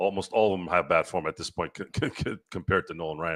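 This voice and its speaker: Over a silent background in a very clean recording, a man with an American accent talks very fast in an animated tone. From central California, US. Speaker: sports talk show host. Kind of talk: casual sports talk livestream. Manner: loud.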